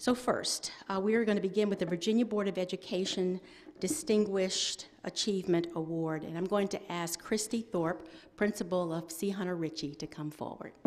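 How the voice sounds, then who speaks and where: A woman speaks at a moderate pace. Her pitch variation is ordinary. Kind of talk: ceremony announcement. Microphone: podium.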